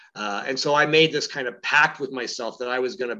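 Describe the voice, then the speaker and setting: A man's medium-pitched voice with a Canadian accent, a bright, sharp tone, fairly even intonation and a fairly quick pace. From Ontario, Canada (London). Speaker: author and former journalist. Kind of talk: interview. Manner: halting, many fillers.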